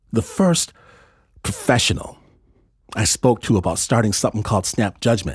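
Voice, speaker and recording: Breathing a little into his words, a man of medium pitch speaks at a moderate pace with lively intonation, very even loudness and long, frequent pauses. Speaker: podcast host. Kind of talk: podcast intro and fundraising appeal.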